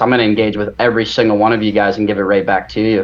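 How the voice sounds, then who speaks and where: Over noticeable background noise, a man with an American accent speaks at a medium pitch. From Virginia, US. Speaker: golf YouTuber. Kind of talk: interview. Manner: halting.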